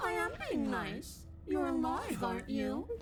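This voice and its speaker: Someone uses a put-on character voice at a fairly slow pace over loud background noise. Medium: video game. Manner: teasing, mockingly sweet menace.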